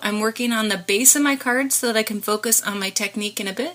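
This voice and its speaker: Against noticeable background noise, a woman talks at a moderate pace with a fairly high pitch and ordinary pitch variation. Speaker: crafter. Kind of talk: tutorial.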